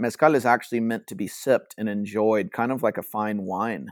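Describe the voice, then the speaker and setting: An ordinary speaking voice with an American accent moves at a moderate pace with ordinary pitch variation, on a very clean recording with a silent background and a dry, close sound with no echo. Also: man. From rural Georgia, US South. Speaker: Spanish-learning content creator. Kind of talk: casual chat.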